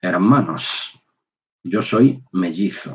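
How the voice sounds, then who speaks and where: The speaker is a man with a fairly low pitch. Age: 60s. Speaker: religious speaker. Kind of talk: personal testimony. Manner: halting.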